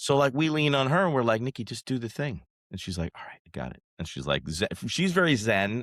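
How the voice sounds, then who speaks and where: At a fairly quick pace, a man of medium pitch speaks with very wide pitch swings, vocal fry and big swings in loudness, captured on a very clean, dry, close recording with a silent background and no echo. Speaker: wedding photographer. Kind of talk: casual chat. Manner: animated.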